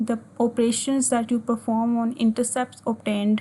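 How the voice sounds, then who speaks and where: This woman's voice is fairly high and somewhat breathy. Her intonation stays fairly even. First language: Urdu or Hindi. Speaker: physics teacher. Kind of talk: tutorial. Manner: halting, with frequent fillers.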